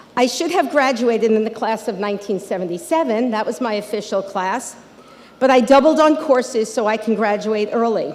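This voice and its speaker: Someone with an American accent talks at a fairly quick pace with ordinary pitch variation over noticeable background noise. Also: woman, fairly high pitch for a woman. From Long Island, New York. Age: 60s. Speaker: local politician. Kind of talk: commencement speech. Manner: casual, conversational.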